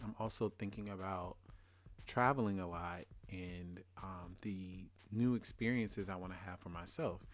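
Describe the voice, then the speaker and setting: A man speaks with a Louisiana accent at a moderate pace. His voice is fairly low, with fairly even intonation. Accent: US Southern, Louisiana. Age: 30s. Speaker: podcast host. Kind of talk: casual solo monologue.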